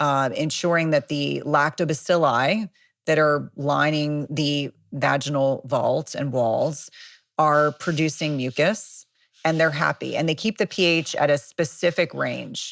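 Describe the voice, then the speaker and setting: A woman with an American accent speaks fairly slowly at a very deep, low pitch, with vocal fry and ordinary pitch variation. The recording is very clean, with a silent background. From US Northeast, New Jersey. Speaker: nurse practitioner and author. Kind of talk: expert interview. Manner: animated.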